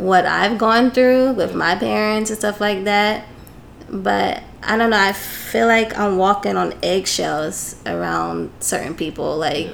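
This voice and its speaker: A woman with an American accent speaks at a fairly slow pace with hardly any pauses. Noticeable background noise and audible room echo fill the recording. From New Jersey. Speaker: English teacher in Japan. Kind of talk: casual chat. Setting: studio.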